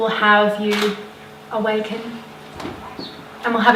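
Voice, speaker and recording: A woman speaks fairly slowly at a fairly high pitch, with audible room echo and noticeable background noise. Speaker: women's wellness coach. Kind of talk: live talk to audience. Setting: stage with audience. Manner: loud. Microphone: no microphone.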